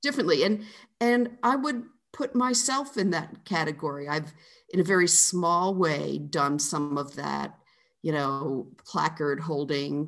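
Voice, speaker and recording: A woman speaks in a very deep, low pitch marked by vocal fry and very wide pitch swings. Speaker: author. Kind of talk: interview conversation.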